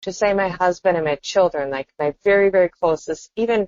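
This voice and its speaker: At a moderate pace, a woman speaks in an ordinary speaking voice of medium pitch. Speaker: podcast co-host. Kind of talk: casual chat.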